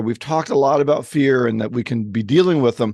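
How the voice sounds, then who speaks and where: Over a quiet background, a man with an ordinary speaking voice talks at a moderate pace with lively intonation. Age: 60s. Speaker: podcast co-host, sales coach. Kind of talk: podcast interview.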